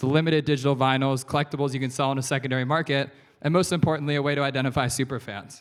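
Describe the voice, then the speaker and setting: A man with an American accent talks at a very fast pace in a fairly high voice. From USA. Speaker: investor. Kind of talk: keynote talk. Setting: stage with audience. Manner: animated.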